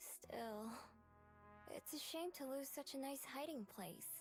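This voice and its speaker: A female-sounding voice puts on a character voice, high-pitched and fairly slow. Clear music plays in the background. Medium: solo performance. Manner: guarded, wry.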